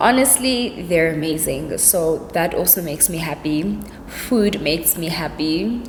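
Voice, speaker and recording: A woman with a fairly low pitch and a relaxed tone speaks at a fairly slow pace with ordinary pitch variation, amid audible room echo and noticeable background noise. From South Africa, Cape Town. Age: 20s. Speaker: YouTuber. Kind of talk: casual vlog Q&A. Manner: chatty, relaxed.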